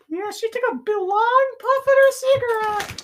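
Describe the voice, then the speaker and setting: This is a put-on character voice at an extremely high pitch. It sounds squeaky and moves at a moderate pace. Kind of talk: comic improv. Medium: comedy sketch. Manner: rambling, distracted.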